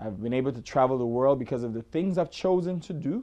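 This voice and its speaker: A man's medium-pitched voice in an Antiguan accent, dark and mellow in tone, with lively intonation over a quiet background. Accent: Antiguan Caribbean. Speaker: hairstylist. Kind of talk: self-promotional talk to camera. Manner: casual, hesitant with many fillers.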